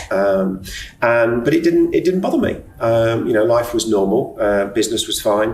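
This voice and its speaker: The speech moves at a moderate pace with very even loudness. Audible room echo and noticeable background noise surround it. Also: man. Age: 60s. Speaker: retired businessman sharing OCD experience. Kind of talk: podcast interview, personal testimony. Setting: hotel bar.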